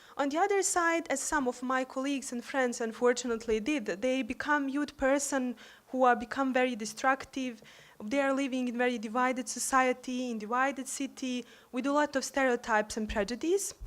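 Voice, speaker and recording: A woman with a Bosnian accent talks at a fairly quick pace in a high voice, her pitch varying in an ordinary way. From Bosnia and Herzegovina. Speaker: university staff and youth peace activist. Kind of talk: conference speech.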